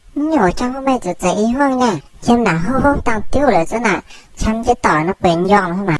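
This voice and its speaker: A woman puts on a character voice at fairly high pitch. She speaks at a moderate pace. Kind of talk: comic dubbing. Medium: fan dub. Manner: loud, quarrelsome.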